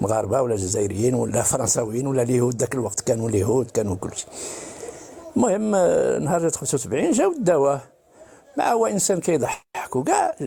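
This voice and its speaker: The pace is fairly quick. The pitch makes very wide swings. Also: man. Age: 70s. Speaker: caller. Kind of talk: testimony.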